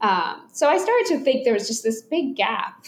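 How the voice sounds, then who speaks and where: Noticeable background noise behind a woman's voice at a middling pace. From US South, Atlanta, Georgia. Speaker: speech pathologist and author. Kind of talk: interview conversation.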